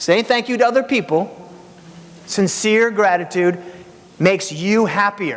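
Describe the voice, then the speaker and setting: A high-voiced man in an energetic tone, fairly slow, with long, frequent pauses, very even loudness and ordinary pitch variation. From Hungary. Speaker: keynote speaker. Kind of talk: motivational keynote speech. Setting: stage with audience.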